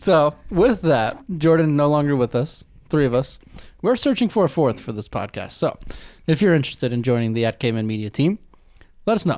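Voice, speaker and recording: A man with an American accent talks at a fairly quick pace in a fairly high pitch, his pitch swinging very widely. The recording is very clean, with a silent background. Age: 20s. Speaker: podcast host and sports announcer. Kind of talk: casual chat.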